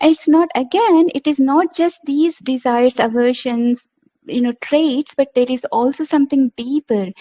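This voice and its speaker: With an Indian accent, a woman speaks at a high pitch. She keeps a moderate pace with ordinary pitch variation. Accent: Indian English, Telugu. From India, Andhra Pradesh (Telugu-speaking). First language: Telugu. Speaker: homeopath. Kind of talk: lecture. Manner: halting.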